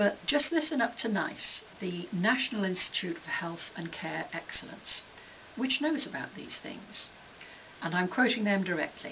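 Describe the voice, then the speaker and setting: Against noticeable background noise, a woman at medium pitch talks at a moderate pace with very wide pitch swings. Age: 60s. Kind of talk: scripted commentary.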